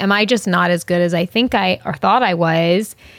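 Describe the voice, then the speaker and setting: Someone with an American accent and an unremarkable speaking voice talks at a moderate pace. The pitch varies in an ordinary way. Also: woman. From US Northeast, Long Island, New York. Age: 30s. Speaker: actor. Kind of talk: casual chat.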